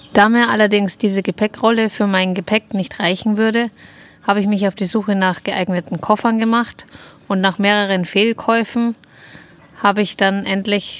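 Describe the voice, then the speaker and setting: Monotone, flat delivery from a woman, medium-pitched and moderately paced. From Upper Bavaria, Germany. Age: 30s. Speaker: podcast co-host, motorcyclist. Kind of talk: scripted self-introduction.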